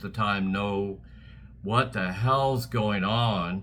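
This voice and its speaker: A man's fairly low-pitched voice in a bright, sharp tone, with an American accent, at a fairly slow pace. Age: 70s. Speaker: political commentator. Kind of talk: political rant. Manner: animated.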